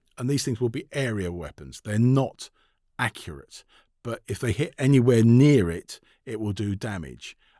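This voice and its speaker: Recorded very cleanly with a silent background, a man speaks with a London accent, the sound dry and close with no echo. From London, England. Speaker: author and tank historian. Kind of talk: interview conversation. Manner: fast; halting, many fillers.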